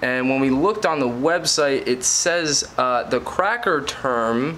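A man talks very slowly, with light background noise behind him. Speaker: podcast host vlogging. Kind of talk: casual vlog chat. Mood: wry, sarcastic. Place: home room. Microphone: phone near.

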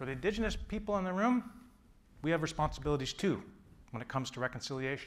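A man with a Canadian accent and lively intonation. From Ontario, Canada (Peterborough); Ontario. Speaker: journalist and journalism professor; journalist, journalism professor. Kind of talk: lecture. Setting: stage with audience. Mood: earnest, reflective. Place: hall.

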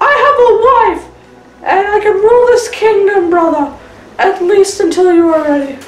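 In a put-on character voice, a woman speaks at an extremely high pitch and moderate pace. Her loudness is very even, and there is a slight echo. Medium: short film. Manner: earnest.

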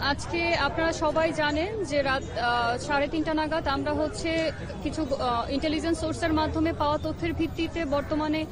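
Crowd noise fills the background as a woman speaks in a dry sound with no echo. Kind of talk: press briefing. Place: open country. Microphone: handheld.

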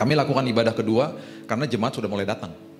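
The voice shows ordinary pitch variation, with clear music playing in the background. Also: man. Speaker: pastor. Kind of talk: sermon. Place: church. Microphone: handheld.

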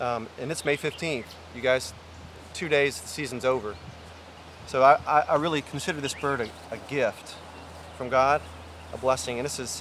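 Pausing long and often, a man speaks with fairly even intonation in a dry sound with no echo over light background noise. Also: moderate pace. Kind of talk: casual vlog chat. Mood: humble, reflective. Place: open country.

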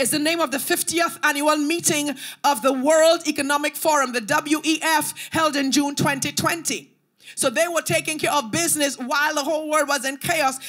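Against a quiet background, a woman talks at a moderate pace. Her pitch is high and her intonation fairly even. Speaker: preacher. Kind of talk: sermon. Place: church. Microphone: handheld.

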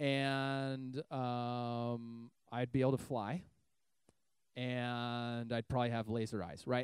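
Against a quiet background, a man speaks in a dark, mellow tone, the sound dry with no echo. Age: 30s. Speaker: youth pastor. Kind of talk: sermon. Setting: church youth service with audience. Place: church. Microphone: handheld.

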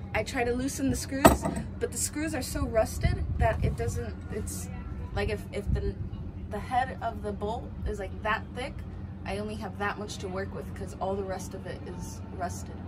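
A woman talks at a moderate speed while loud background noise plays. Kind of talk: casual vlog chat. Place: boat. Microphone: phone near.

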